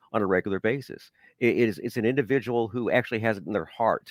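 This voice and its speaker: In a very clean recording with a silent background, a man with an American accent talks at a fairly quick pace, the sound dry and close with no echo. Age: 60s. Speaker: radio personality. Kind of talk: interview. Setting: podcast.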